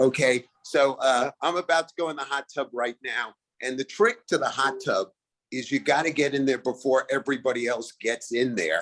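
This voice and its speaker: This man talks at a moderate pace with a Brooklyn accent, medium pitch and ordinary pitch variation, in a dry, close sound with no echo. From Brooklyn, New York. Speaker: comedian. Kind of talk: stand-up. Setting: video call.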